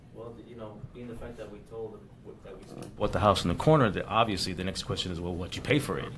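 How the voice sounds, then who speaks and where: Talking very fast in a fairly low voice with an East Coast US accent, a man swings widely in loudness, with audible room echo and noticeable background noise. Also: ordinary pitch variation. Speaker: new real estate wholesaler. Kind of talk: casual discussion.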